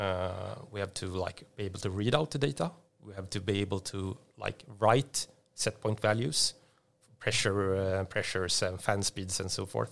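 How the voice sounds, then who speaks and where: A man talks with a Swedish accent at a moderate pace. His pitch is fairly low. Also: ordinary pitch variation, very clean recording, silent background. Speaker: tech company executive. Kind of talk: interview. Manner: halting.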